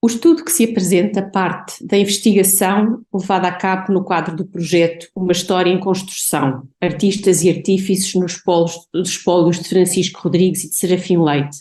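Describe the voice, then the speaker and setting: A woman speaks at a medium pitch with a dark, mellow, somewhat breathy tone. Her intonation stays fairly even, with hardly any pauses. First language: Portuguese (speaking Spanish). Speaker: art historian and researcher. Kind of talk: academic conference presentation. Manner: slow.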